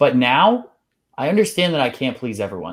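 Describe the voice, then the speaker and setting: Very wide pitch swings mark this man's animated tone at a moderate pace. The recording is very clean, with a silent background. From US Northeast (Maryland/Pennsylvania). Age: 20s. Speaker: health coach. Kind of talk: podcast interview. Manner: casual, animated.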